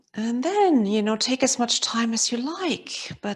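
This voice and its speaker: A woman's pitch swings very widely as she talks at a fairly slow pace. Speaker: movement teacher. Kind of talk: guided movement session. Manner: calm, soft-spoken.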